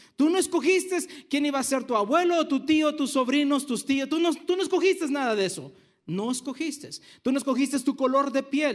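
On a very clean recording with a silent background, a man speaks at an extremely high pitch and a fairly quick pace, with ordinary pitch variation. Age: 50s. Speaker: pastor. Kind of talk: sermon.

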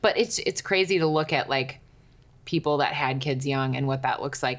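In a very clean recording with a silent background, a woman talks at a moderate pace with a very deep, low pitch. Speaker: podcast host. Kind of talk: interview. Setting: at her home.

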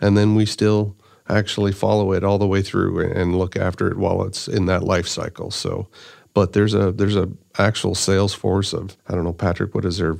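With a Canadian prairie accent, a man speaks at a fairly low pitch in monotone, flat intonation. The background is quiet. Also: fairly quick pace. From Saskatchewan, Canada. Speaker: agricultural product development director. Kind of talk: interview. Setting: studio.

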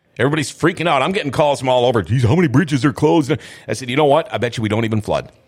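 With an Upper Midwest accent, a man speaks very fast. His medium-pitched voice has lively intonation. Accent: Upper Midwest (Minnesota). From Minnesota. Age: 50s. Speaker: podcast host, former radio host. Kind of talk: casual chat. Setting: studio.

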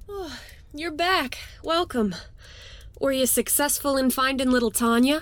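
A woman's high-pitched voice at a fairly slow pace, with lively intonation and long, frequent pauses. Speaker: tavern keeper character voice.

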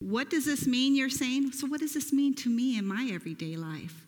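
A woman speaks loudly in a high voice at a moderate pace. Her pitch swings very widely. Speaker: pastor. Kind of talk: sermon. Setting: church.

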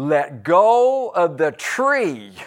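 In a put-on character voice, a man speaks at a high pitch with very wide pitch swings. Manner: loud.

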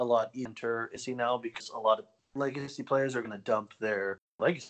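At a moderate pace, this is a plain, everyday voice with ordinary pitch variation. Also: man. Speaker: co-host or regular guest, card game player. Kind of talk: casual banter podcast chat. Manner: profane, casual.

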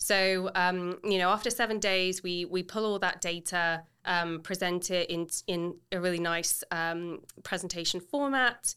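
Someone with a London accent talks at a fairly slow pace, with a bright, sharp tone and fairly even intonation. The recording is very clean, with a silent background. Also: woman, medium pitch for a woman. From England, London. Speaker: real estate agent and podcast host. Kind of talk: casual interview.

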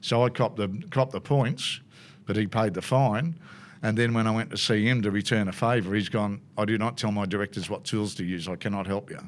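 With an Australian accent, a man talks at a fairly quick pace in a fairly low pitch with ordinary pitch variation, on a very clean recording with a silent background. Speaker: motorsport commentator. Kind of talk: casual interview, storytelling. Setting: racetrack. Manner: chatty, laughs often.

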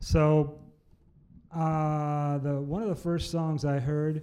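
With a Midwestern US accent, a man speaks in a fairly high pitch with a dark, mellow tone. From Iowa. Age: 70s. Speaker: blues musician and former pastor. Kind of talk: casual interview.

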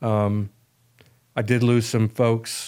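In a very clean recording with a silent background, a man with an American accent speaks very slowly in a dark, mellow tone at medium pitch, his intonation monotone and flat. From US, Italian American family. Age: 60s. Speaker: men's ministry leader, military veteran. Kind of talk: casual chat. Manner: halting.

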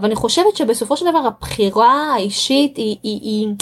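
A woman with a Russian accent speaks at a moderate pace with ordinary pitch variation. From Israel, Russian-speaking immigrant family. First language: Russian (speaking Hebrew). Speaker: home-education graduate and mother. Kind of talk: podcast interview. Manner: halting, frequent repetitions.

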